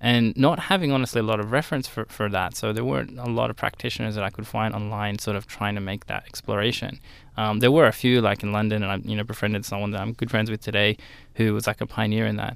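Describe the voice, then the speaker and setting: In an Australian accent, a man talks at a very fast pace. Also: fairly low pitch for a man, ordinary pitch variation. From Australia, southern Sydney. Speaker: graphic designer and studio founder. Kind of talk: interview. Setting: radio studio. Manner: hesitant, many fillers.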